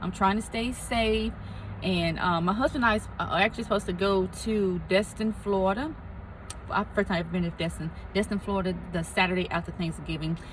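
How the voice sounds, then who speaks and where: The speaker goes at a fairly quick pace with vocal fry. Pitch moves in an ordinary way. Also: woman, medium pitch for a woman. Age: 40s. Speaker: lupus vlogger. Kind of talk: casual vlog. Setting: in a car.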